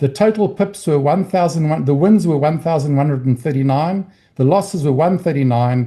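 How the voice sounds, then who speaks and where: Set against a quiet background, the voice carries a dark, mellow tone and ordinary pitch variation. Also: man. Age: 60s. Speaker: trading educator. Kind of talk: training session. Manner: halting.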